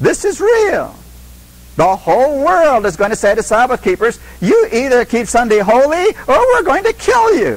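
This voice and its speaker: A man's voice against noticeable background noise. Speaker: Bible teacher. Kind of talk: Bible study lecture.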